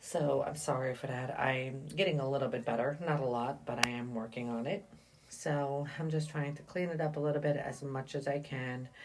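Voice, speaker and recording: A woman speaks at a moderate pace in a very deep, low voice with fairly even intonation, with audible room echo and noticeable background noise. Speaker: soap maker. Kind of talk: tutorial. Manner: halting.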